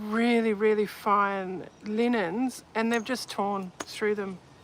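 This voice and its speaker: With an Australian accent, the speaker goes at a very slow pace. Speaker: vintage textile collector and seller. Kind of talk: casual show and tell video. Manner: casual, halting with false starts.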